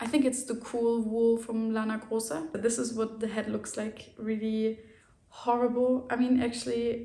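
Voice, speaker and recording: Speaking at a fairly slow pace, a woman with a fairly high voice and a German accent keeps a monotone, flat intonation. Audible room echo surrounds her. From Germany. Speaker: knitting podcaster. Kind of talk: casual chat.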